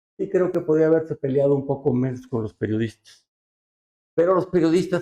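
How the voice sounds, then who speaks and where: A man talks with lively intonation at a fairly high pitch. His tone is dark and mellow. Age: 70s. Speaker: politician. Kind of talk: interview.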